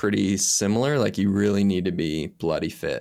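Speech comes at a moderate pace in an American accent. The recording is very clean with a silent background. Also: man. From US. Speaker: mountain bike scientist and coach. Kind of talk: casual interview.

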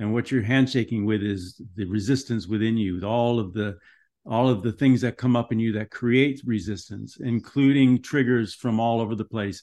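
A man with an American accent speaks at a medium pitch and moderate pace. It is a plain, everyday voice with fairly even intonation. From US West Coast, Los Angeles (Van Nuys). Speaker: writer and meditation practitioner. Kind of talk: interview conversation.

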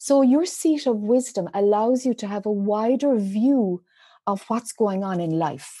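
On a very clean recording with a silent background, a woman with a dark, mellow tone and fairly high pitch speaks fairly slowly with lively intonation. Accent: Irish. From Ireland. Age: 50s. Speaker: spiritual teacher. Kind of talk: interview.

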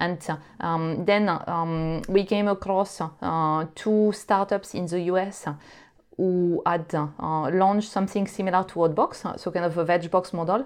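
Against a quiet background, a woman talks at a medium pitch and a fairly slow pace with fairly even intonation. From France. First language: French. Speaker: startup co-founder. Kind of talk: interview. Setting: remote recording. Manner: hesitant, many fillers.

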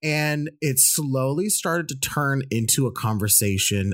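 Lively intonation and an animated tone carry a moderate pace in a very clean recording with a silent background. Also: man. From US, Indian American. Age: 30s. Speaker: podcast co-host. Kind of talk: casual chat.

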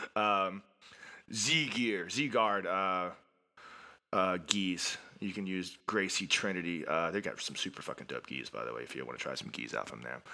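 A man with a very deep, low pitch and a bright, sharp tone talks at a moderate pace with vocal fry. His pitch swings very widely on a very clean recording with a silent background. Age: 40s. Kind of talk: casual interview. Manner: animated.

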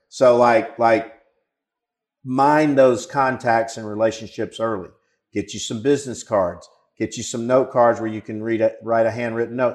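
Speaking fairly slowly with an Alabama accent, a man's loudness swings a lot over a quiet background. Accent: Southern US (Alabama). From rural southern Alabama, US South. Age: 50s. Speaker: marketing agency founder and CEO. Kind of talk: interview. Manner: halting, many fillers.

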